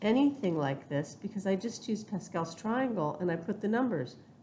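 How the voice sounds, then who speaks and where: A somewhat breathy woman with lively intonation at a moderate pace, with audible room echo. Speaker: math teacher. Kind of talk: lecture.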